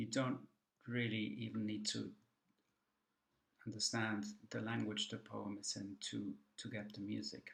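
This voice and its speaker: A man with a German accent speaks at a fairly slow pace and fairly low pitch, with ordinary pitch variation, vocal fry, and long, frequent pauses. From Germany. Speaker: poet. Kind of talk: recorded talk. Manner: hesitant, many fillers.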